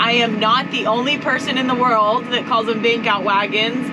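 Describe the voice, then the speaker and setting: Loud background noise fills the recording. A woman speaks at a moderate pace. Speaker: farmer vlogger. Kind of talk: casual vlog chat. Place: farm machine. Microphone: phone near.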